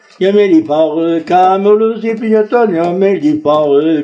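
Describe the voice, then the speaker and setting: Over noticeable background noise, a man speaks very slowly in a high pitch. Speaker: traditional fiddler. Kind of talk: casual chat. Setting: at his home.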